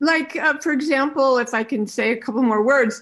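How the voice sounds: A woman with a high voice and a fairly bright tone talks at a moderate pace with ordinary pitch variation.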